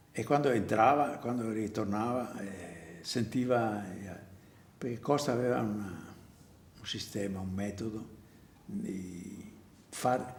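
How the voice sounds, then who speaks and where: A man at a medium pitch speaks very slowly and somewhat breathily, with long, frequent pauses, big swings in loudness, and ordinary pitch variation. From Venice, Italy. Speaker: theatre prompter. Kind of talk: interview answer.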